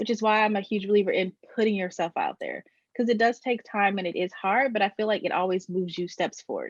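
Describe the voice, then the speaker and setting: With an American accent, a woman talks at a fairly quick pace in a fairly high-pitched, a normal speaking voice, the sound dry and close with no echo. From Maryland, US East Coast. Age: 20s. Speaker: brand strategist and web designer. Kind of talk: podcast interview. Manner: casual, filler-heavy.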